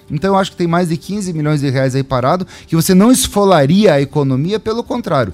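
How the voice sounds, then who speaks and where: A man with a high-pitched voice talks at a fairly quick pace with lively intonation while music plays in the background. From Cascavel, Paraná, Brazil. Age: 40s. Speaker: mayoral pre-candidate. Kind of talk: radio interview.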